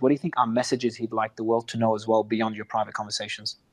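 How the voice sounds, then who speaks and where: This is a man speaking with an Australian accent. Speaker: interviewer. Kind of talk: interview.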